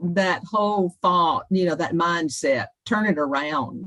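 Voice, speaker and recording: In a Southern accent, a woman speaks at a very slow pace. Her pitch is fairly low with ordinary variation. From South Carolina, US South. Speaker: leadership coach. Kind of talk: interview.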